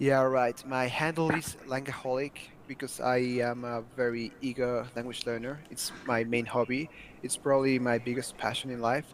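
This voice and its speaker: With a slight non-native accent, a man talks at a moderate pace in a monotone, flat intonation over noticeable background noise. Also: medium pitch for a man. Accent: near-native English. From Mexico. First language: Spanish. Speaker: language learner. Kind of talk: interview.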